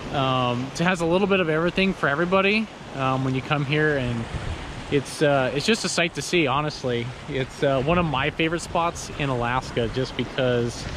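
A man at a fairly quick pace, with ordinary pitch variation, a dry sound with no echo and noticeable background noise. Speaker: travel vlogger. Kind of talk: casual vlog chat. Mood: relaxed, enthusiastic. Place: beach. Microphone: phone near.

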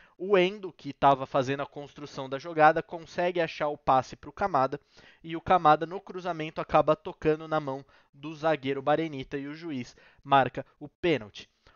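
A man talks at a moderate pace with fairly even intonation, the sound dry with no echo over a quiet background. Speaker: sports commentator / YouTuber. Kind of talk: post-match analysis, informal sports commentary to camera. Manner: conversational, explanatory, fairly fluent with filler words. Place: home room. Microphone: headset.

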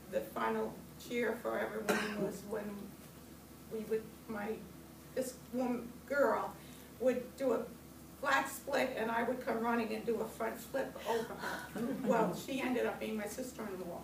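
A woman speaks with long, frequent pauses and fairly even intonation. Noticeable background noise sits behind her. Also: fairly slow pace. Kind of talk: personal memoir reading. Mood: warm, wry humor. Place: meeting room. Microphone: camera far.

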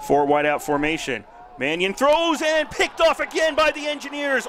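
A man's intonation rises and falls in a lively way, with background noise clearly audible. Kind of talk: live play-by-play sports commentary. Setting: game broadcast.

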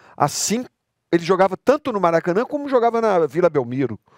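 With very wide pitch swings, a man talks at a moderate pace against a quiet background, the sound dry with no echo. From Rio de Janeiro, Brazil. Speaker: former footballer and coach; coach. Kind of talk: podcast interview. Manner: halting, repetitive. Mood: reminiscing, animated. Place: studio. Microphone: headset.

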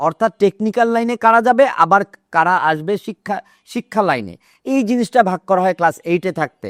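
On a very clean recording with a silent background and a dry, close sound with no echo, a man speaks in a high pitch with ordinary pitch variation. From Russia. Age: 50s. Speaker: political commentator. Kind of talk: monologue commentary.

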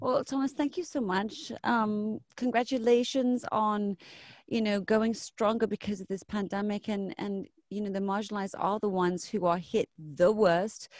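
Speaking at a moderate pace with a plain, everyday voice, a woman with a fairly high pitch shows ordinary pitch variation, her sound dry with no echo over a quiet background. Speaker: radio host. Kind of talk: casual interview. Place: studio.

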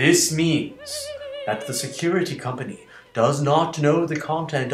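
Clear music plays in the background. A man speaks with ordinary pitch variation. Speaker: comedic spam reader. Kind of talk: theatrical reading of an email. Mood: mock-pleading, melodramatic. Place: home room. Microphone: webcam.

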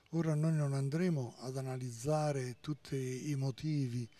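Very slow and fairly even in intonation, a man with a fairly high pitch and a somewhat breathy, dark, mellow tone speaks in a dry sound with no echo. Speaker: priest. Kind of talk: interview. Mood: earnest, reflective. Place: street. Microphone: handheld.

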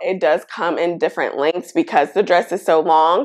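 Against a quiet background, a woman speaks at a fairly low pitch. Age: 30s. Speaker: fashion YouTuber. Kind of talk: try-on haul. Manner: animated. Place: home room. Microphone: lapel.

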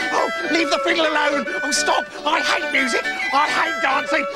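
A man at a moderate pace, with loud music in the background. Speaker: storyteller. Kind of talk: children's story narration with character voices. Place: studio.

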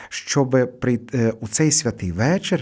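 This man's voice sits at a medium pitch and carries a dark, mellow tone. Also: very clean recording, silent background. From Hutsul region, western Ukraine (Kuty). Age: old. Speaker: priest. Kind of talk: radio interview. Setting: radio studio. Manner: halting with fillers.

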